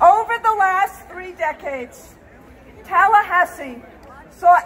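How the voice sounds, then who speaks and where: A woman speaks at a very slow pace. Crowd noise fills the background. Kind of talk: rally speech. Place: street.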